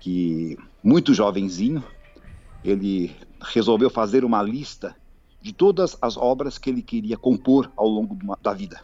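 Intonation rises and falls in a lively way. The pace is fairly slow, broken by long, frequent pauses. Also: man, medium pitch for a man. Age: 60s. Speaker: pianist and composer. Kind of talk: interview.

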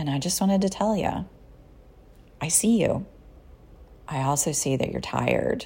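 A woman's very deep, low voice with lively intonation and long, frequent pauses. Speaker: psychotherapist and podcast host. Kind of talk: solo podcast monologue with guided mindfulness. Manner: softer and slower during compassion exercises; conversational, casual.

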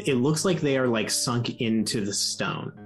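Here is a natural reading voice. Its pitch variation is ordinary.

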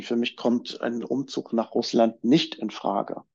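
This is a man speaking. His intonation stays flat and monotone. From East Germany. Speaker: journalist and documentary filmmaker. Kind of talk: casual chat.

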